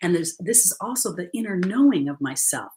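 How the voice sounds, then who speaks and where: A woman's somewhat breathy, medium-pitched voice with very wide pitch swings. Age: 60s. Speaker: spiritual coach and card reader. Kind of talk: livestream card reading. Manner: casual, conversational.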